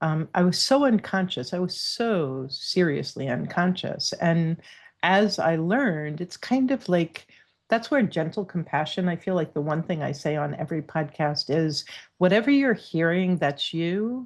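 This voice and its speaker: Against a quiet background, a woman with an ordinary speaking voice and an American accent talks at a fairly slow pace, her fairly low pitch carrying lively intonation. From New York. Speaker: divorce coach. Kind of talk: casual chat.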